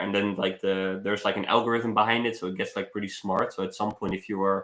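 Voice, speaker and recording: With a Dutch accent, a man speaks at a fairly low pitch and a very fast pace, his tone bright and sharp and his intonation flat and monotone, over a quiet background. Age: 20s. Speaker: travel vlogger. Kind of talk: live stream casual chat. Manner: halting, many fillers.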